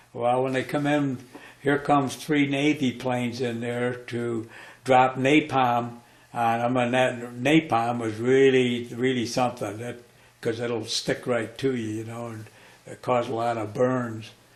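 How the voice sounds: A man with an American accent talks at a fairly slow pace, his pitch medium and barely moving. There is audible echo from the room.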